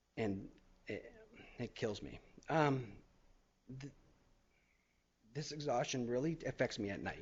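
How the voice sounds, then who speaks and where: The voice is somewhat breathy, with ordinary pitch variation. It moves at a fairly slow pace with long, frequent pauses. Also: man, medium pitch for a man. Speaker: cancer survivor. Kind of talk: testimony. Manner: halting, stuttering.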